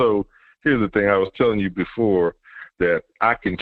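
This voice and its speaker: Moderate pace and fairly low pitch from a man with an unremarkable speaking voice. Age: 60s. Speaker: football fan co-commentator. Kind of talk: casual sports talk show discussion.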